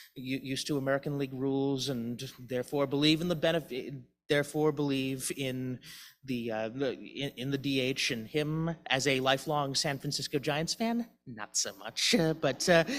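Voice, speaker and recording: A man with a Boston accent at a moderate pace and fairly high pitch, on a very clean recording with a silent background. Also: ordinary pitch variation. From Boston, US. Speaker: memorial service speaker. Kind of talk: eulogy. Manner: halting, many false starts.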